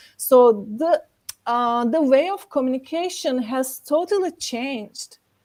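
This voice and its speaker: Speaking with a Turkish accent, a woman uses lively intonation and a high pitch at a fairly slow pace. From Turkey, Istanbul. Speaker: actor and event organizer. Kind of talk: panel discussion. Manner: many fillers like 'like'.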